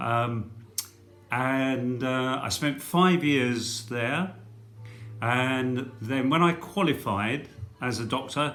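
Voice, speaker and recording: A man's medium-pitched, bright and sharp voice with an English accent, very slow pace, long and frequent pauses, ordinary pitch variation, and audible room echo. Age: 60s. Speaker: retired doctor. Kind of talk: talk to school pupils about career. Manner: hesitant, many fillers.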